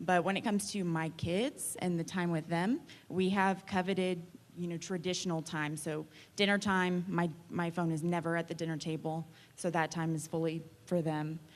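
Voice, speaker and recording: With an American accent and an unremarkable speaking voice, a woman talks at a moderate pace and fairly low pitch with fairly even intonation over a quiet background. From Texas, Austin. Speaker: realtor. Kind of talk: panel discussion.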